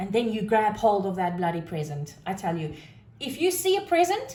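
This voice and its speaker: Loud, with very wide pitch swings, a woman speaks amid audible room echo. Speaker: tarot reader. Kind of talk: tarot reading monologue. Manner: animated.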